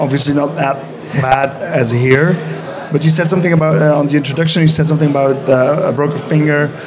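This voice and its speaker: A man speaks at a fairly high pitch with fairly even intonation. Noticeable background noise and audible room echo are present. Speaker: festival Q&A moderator. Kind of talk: live Q&A interview. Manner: halting, stumbling.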